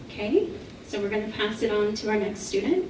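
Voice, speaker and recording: Over noticeable background noise and audible room echo, a woman talks at a fairly quick pace in a fairly high pitch with lively intonation. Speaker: panel moderator. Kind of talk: moderating a panel. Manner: soft-spoken.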